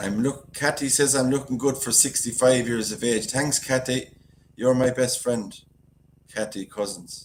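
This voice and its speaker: A man speaks with a strong Galway accent at a medium pitch and a moderate pace. His intonation is fairly even, and music plays in the background. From Ireland, County Galway. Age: 60s. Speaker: YouTuber. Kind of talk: live stream chat. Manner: casual, chatty.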